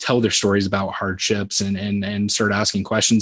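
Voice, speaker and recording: At a fairly quick pace, a man with a fairly low pitch talks in a Midwestern US accent. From Southwest Iowa. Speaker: insurance sales manager. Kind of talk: interview. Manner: halting, repeats words.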